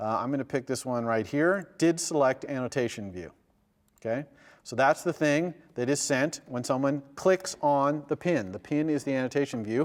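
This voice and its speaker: There is a man here with an ordinary speaking voice, a fairly high pitch and a moderate pace, on a very clean recording with a silent background. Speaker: university lecturer. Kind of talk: lecture.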